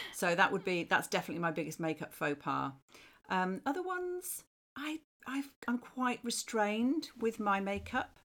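A woman speaks at a moderate pace and medium pitch, her voice moving in very wide pitch swings. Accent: British. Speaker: marketing professional. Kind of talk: casual chat.

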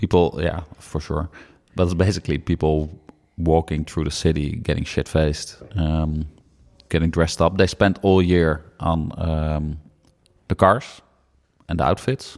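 A man with a Dutch accent speaks in a very deep, low pitch at a fairly slow pace. His intonation is fairly even, broken by long, frequent pauses. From Netherlands. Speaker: film podcast co-host. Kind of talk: casual chat.

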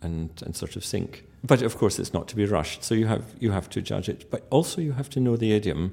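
A man with a Scottish accent talks at a moderate pace in a dark, mellow tone. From Scotland. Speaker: pianist and musicologist. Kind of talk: interview.

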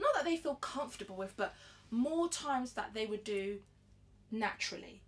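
A woman keeps up a fairly quick pace with ordinary pitch movement as noticeable noise runs in the background. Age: 20s. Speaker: podcast co-host. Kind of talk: casual chat.

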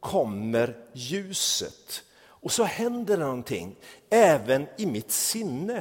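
Pitched high, a man's voice makes very wide pitch swings. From a warm country abroad. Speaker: pastor. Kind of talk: sermon.

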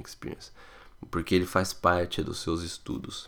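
A man's fairly quick delivery, very cleanly recorded over a silent background. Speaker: podcast host answering immigration questions. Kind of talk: listener Q&A podcast.

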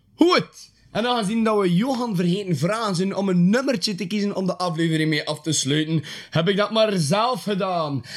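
This man's voice sits high in pitch, and his intonation is lively. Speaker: podcast host. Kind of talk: casual interview.

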